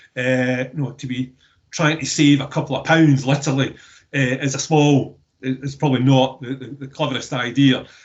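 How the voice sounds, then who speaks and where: A man with a Scottish accent speaks at a moderate pace in a medium pitch, somewhat breathy, with monotone, flat intonation. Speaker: waste recycling business representative. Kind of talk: webinar discussion. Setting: online webinar. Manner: halting, many repeated words.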